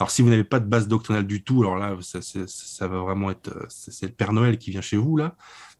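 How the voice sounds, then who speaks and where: A man in an unremarkable speaking voice, at a fairly quick pace with hardly any pauses. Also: fairly low pitch for a man, ordinary pitch variation. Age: 30s. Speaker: book publisher and author. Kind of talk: interview on political book. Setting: remote call over internet.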